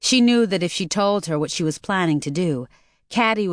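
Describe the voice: Plain reading aloud with lively intonation against a quiet background.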